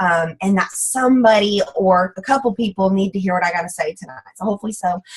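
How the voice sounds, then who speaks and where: Somewhat breathy, a woman with a Texas accent talks at a medium pitch and a fairly quick pace. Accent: Southern US (Texas). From US South. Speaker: direct sales ambassador. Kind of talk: motivational talk on a team call. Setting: group conference call. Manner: fast; animated.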